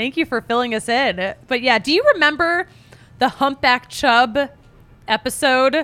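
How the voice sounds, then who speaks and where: Raising and projecting her high-pitched voice, a woman with an American accent speaks at a fairly slow pace in a bright, sharp, animated tone with ordinary pitch variation. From Philadelphia. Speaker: sports podcast host. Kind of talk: casual chat.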